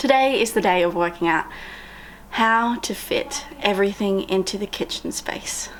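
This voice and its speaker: The speaker uses lively intonation in an Australian accent over noticeable background noise. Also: woman, medium pitch for a woman, moderate pace. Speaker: van life vlogger. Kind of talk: casual vlog.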